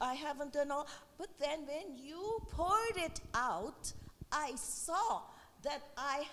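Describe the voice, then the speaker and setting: Against noticeable background noise, a woman with a high voice talks very slowly, her pitch swinging very widely. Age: 70s. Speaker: audience member. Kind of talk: audience comment.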